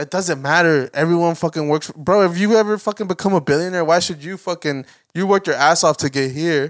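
In a very clean recording with a silent background and dry, close sound with no echo, a man with a high pitch talks at a very fast pace with hardly any pauses and ordinary pitch variation. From US, Mexican-American. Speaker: podcast co-host. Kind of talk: casual chat. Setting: home studio, video recorded.

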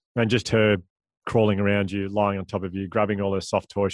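In an Australian accent, a man speaks very fast in a fairly low pitch. His intonation is monotone and flat. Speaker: public speaker.

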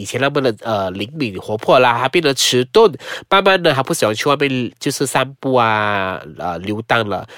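Speaking at a moderate pace with hardly any pauses, a man's voice moves through very wide pitch swings. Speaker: podcast host. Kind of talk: casual chat. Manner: subdued, lower volume than usual.

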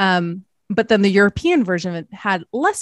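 A woman talks in a normal speaking voice at medium pitch and a fairly slow pace. The sound is dry and close with no echo, over a quiet background. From Canada. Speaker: pop culture historian and podcaster. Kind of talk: casual interview chat.

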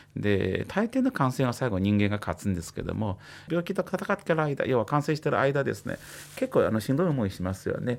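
A man talks at a fairly quick pace in a medium pitch, with vocal fry. His pitch swings very widely. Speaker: psychiatrist. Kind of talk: explanatory talk on radio. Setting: radio studio. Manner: casual, uses many fillers.

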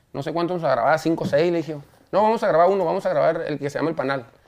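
This man speaks at a fairly high pitch with lively intonation. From Mexico. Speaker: singer. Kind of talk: interview.

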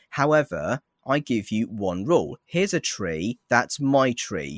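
A man's medium-pitched voice in an English accent, with very wide pitch swings, in a very clean recording with a silent background. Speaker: TikTok creator who plays Jesus. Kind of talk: casual chat. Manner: halting, repeats words.

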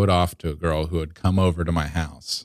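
The sound is dry and close, with no echo. A man speaks with an American accent. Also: very clean recording, silent background. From US, Georgia. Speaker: improv comedian. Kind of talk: casual chat.

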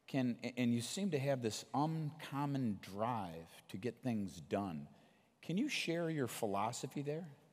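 A man with a medium pitch and an animated tone talks at a fairly slow pace, his voice moving in very wide pitch swings. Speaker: podcast host. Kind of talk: onstage interview. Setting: stage with audience.

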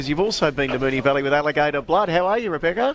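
A man speaks with a fairly high pitch and lively intonation. Noticeable background noise can be heard. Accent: Australian. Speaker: radio racing show host. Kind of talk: live radio chat. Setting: live outside broadcast from a training complex cafe.

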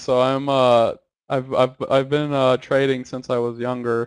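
Against a quiet background, a man with an ordinary speaking voice and a fairly high pitch talks at a fairly slow pace. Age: 20s. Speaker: trader and money manager. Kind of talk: casual interview.

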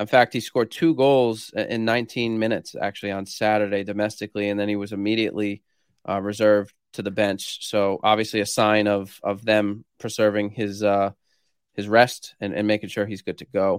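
A man with an American accent talks at a fairly low pitch and a fairly quick pace, with fairly even intonation. The sound is dry and close with no echo, a very clean recording with a silent background. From Rhode Island, US. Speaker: sports betting analyst. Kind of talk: casual chat. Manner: halting.

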